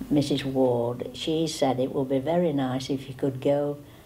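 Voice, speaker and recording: With audible room echo, a woman with a very deep, low pitch speaks at a fairly slow pace and fairly even intonation. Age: 80s. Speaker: elderly tea party guest. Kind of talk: interview testimony.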